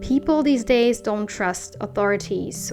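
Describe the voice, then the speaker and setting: With music in the background, a woman speaks in a non-native accent. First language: not English. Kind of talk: casual talk to camera.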